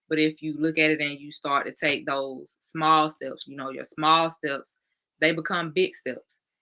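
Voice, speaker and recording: The delivery is fairly slow, in a monotone, flat intonation. Loudness swings widely. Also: woman, very deep, low pitch for a woman. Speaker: podcast co-host, self-discovery coach. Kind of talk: casual podcast conversation. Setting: live stream podcast.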